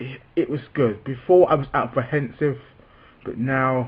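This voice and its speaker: A man's somewhat breathy speech at a fairly slow pace. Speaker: vlogger who stammers. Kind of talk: personal vlog talk. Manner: halting, with repetitions; slow, deliberate.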